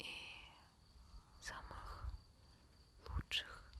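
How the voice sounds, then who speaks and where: The voice is a woman's, and she is whispering. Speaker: ASMR creator. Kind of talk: ASMR affirmation talk. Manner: whispered.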